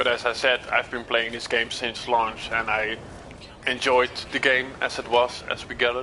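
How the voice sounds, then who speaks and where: A man with a Dutch accent speaks at a medium pitch and moderate pace. His intonation is monotone and flat, with noticeable background noise. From Netherlands. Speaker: gaming livestreamer. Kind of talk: live gameplay stream chat. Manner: halting, repeats words.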